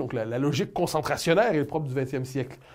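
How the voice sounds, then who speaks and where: A man with a Quebec accent, medium pitch and fairly quick pace, on a very clean recording with a silent background. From Canada. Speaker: political commentator. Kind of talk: interview answer.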